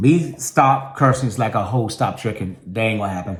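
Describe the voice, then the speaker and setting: An animated, somewhat breathy male voice, fairly low in pitch, with lively intonation at a moderate pace. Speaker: vlogger. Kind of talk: casual vlog monologue.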